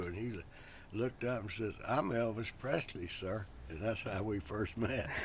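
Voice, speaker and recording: A somewhat breathy male voice, fairly low in pitch, with ordinary pitch variation at a moderate pace. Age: 80s+. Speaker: retired photographer. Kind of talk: interview answer.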